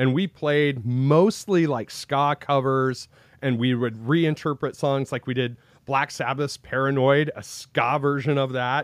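A man with an American accent talks in a fairly high voice. His pace is fairly slow and his intonation fairly even. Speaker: podcaster and former band musician. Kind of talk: casual interview. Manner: natural, not forced.

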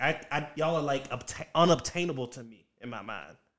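An ordinary speaking voice from a man, fairly high in pitch, with an American accent and a fairly quick pace. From US South, Richmond, Virginia. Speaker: stand-up comedian. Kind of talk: casual chat.

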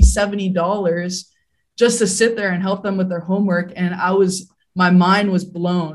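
Somewhat breathy and at a fairly slow pace, a woman speaks with medium pitch. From Hawaii. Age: 20s. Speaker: real estate investor. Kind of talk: interview.

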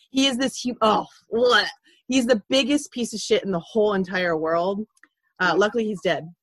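A woman with an American accent sounds somewhat breathy. Her pitch is fairly high and her intonation lively. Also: moderate pace. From Ventura, California. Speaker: true crime podcaster and teacher. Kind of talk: casual chat.

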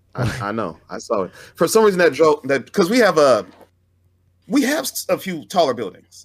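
In an American accent, a man speaks at a moderate pace with a fairly high pitch, very wide pitch swings and vocal fry. The recording is very clean, with a silent background. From Fresno, California. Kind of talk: casual chat.

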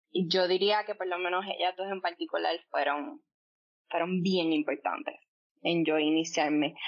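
A woman's unremarkable speaking voice, fairly low-pitched, with lively intonation and a fairly slow pace. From Puerto Rico, Coamo. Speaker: poet. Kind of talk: interview conversation. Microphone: line issues during recording.

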